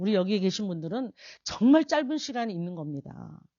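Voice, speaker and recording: With an animated tone, a woman speaks at a moderate pace and very wide pitch swings. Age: 60s. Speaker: pastor. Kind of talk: sermon.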